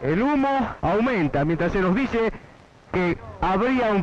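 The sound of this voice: The voice belongs to a man and sits high in pitch. It has lively intonation.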